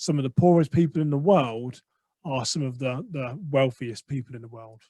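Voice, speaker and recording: In an English accent, a man speaks with a dark, mellow tone and big swings in loudness, in a dry, close sound with no echo. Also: fairly high pitch for a man, ordinary pitch variation, moderate pace. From England. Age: 40s. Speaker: podcaster and mindset coach. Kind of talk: interview.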